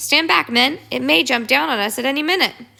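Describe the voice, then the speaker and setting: A woman shouts in a put-on character voice at a high pitch with very wide pitch swings. Her pace is fairly quick. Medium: read story. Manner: shouting.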